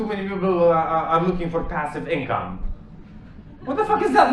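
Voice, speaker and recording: A man with a Romanian accent at a fairly quick pace, audible room echo and noticeable background noise. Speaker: stand-up comedian. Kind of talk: stand-up. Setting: stage with audience.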